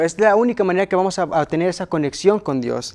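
At a moderate pace, a man talks with a high pitch and ordinary variation in it, against a quiet background. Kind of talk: Bible study discussion. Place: studio. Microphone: lapel.

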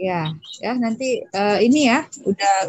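A woman's voice comes through somewhat breathy. The sound is dry with no echo, and the background is quiet. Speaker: moderator. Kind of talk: formal event moderation. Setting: video call. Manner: many filler hesitations. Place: home room. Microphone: video call.

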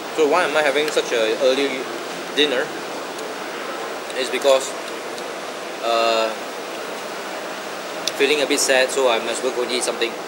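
A man speaks at a moderate pace. Loud noise fills the background. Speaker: food vlogger. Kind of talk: casual vlog chat. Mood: a bit down. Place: cafe.

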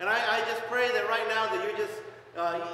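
In a room with strong echo and light background noise, a man projects a raised voice at a fairly quick pace with ordinary pitch variation. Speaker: pastor. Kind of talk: sermon. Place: church. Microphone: camera far.

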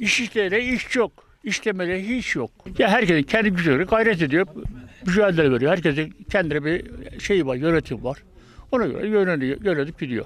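A man's high-pitched voice at a moderate pace, the sound dry with no echo. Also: lively intonation. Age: 70s. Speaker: retired worker. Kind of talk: interview answer. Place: hall. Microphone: handheld.

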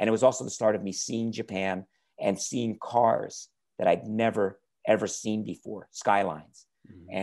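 An enthusiastic man with an American accent, fairly low in pitch, at a moderate pace against a quiet background. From New York area. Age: 50s. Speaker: car YouTuber. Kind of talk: interview. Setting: video call. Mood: relaxed, friendly. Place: home room. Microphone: earbuds.

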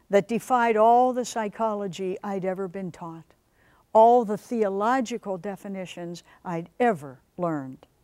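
Reading aloud in a natural voice with ordinary pitch variation.

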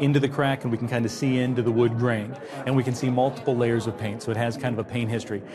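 A man rattles along at a very fast pace, his intonation monotone and flat, with noticeable background noise underneath. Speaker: antiques appraiser. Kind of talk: appraisal interview explanation. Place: studio. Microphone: lapel.

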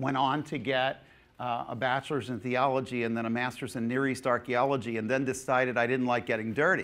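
The delivery is fairly quick and flat, in a monotone. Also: man. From New Jersey. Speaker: pastor and Bible teacher; pastor, Bible teacher. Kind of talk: seminar lecture. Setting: conference hall with audience. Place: church. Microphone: lapel.

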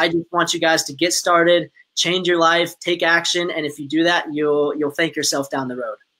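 Bright and sharp in tone, a man's high-pitched voice keeps a moderate pace and fairly even intonation. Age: 20s. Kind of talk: casual live-stream interview.

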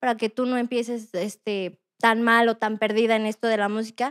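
In a very clean recording with a silent background and a dry, close sound with no echo, a woman with a slight Puebla accent speaks at a moderate pace, her fairly high voice fairly even in intonation. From Mexico, Puebla. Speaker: rapper and singer. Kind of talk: interview.

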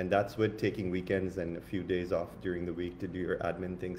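A man speaks at a fairly quick pace in a very deep, low voice with a dark, mellow tone. His delivery is somewhat breathy, with light background noise. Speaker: spiritual coach and co-host; spiritual coach, co-host. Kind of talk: upbeat spiritual talk. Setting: live online stream. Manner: enthusiastic, animated. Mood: enthusiastic, uplifting. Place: home room. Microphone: phone near.

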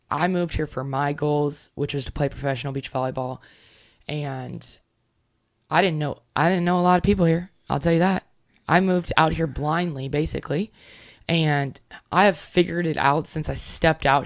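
A woman speaks at a moderate pace in a very deep, low voice. Her intonation stays fairly even against a quiet background. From Louisiana. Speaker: professional beach volleyball player; podcast guest. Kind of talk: interview. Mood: reflective, sometimes somber. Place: home room. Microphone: studio mic.

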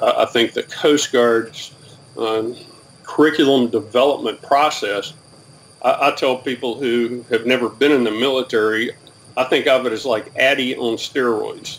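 The speaker uses a Southern US accent with fairly even intonation at a moderate pace. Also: man. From US South, Alabama. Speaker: retired military, training professional. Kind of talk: interview. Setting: video call. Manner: halting. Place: home room.

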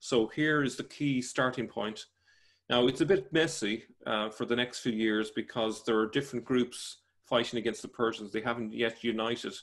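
In a quiet setting, a man's voice is heard. His delivery has a moderate pace and ordinary pitch variation. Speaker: remote guest. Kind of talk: interview answer. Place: home room. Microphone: video call.

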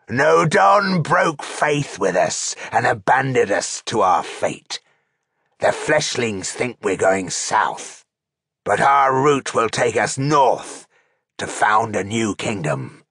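Using a put-on character voice, a man growls in a raspy tone at medium pitch and a very slow pace. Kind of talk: villain voice in an audiobook reading. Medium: read story. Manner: menacing, boastful.

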